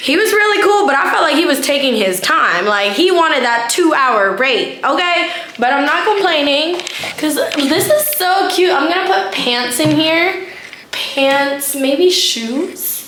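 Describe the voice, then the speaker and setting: Amid noticeable background noise and audible room echo, a woman's high-pitched voice makes very wide pitch swings at a very even loudness. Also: fairly slow pace. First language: not English. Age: 20s. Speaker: law student vlogger. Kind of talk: casual vlog. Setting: at home. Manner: animated.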